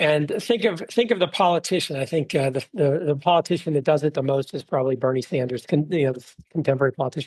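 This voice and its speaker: A man with an American accent speaks at a very fast pace with hardly any pauses. His voice is somewhat breathy. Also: fairly high pitch for a man, ordinary pitch variation. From Texas, Dallas. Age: 50s. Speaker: venture investor. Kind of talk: interview.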